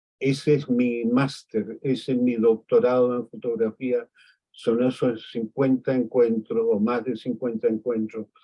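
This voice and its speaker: A man talks at a medium pitch and a fairly slow pace. His intonation is monotone and flat. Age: 80s+. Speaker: photographer. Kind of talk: interview conversation.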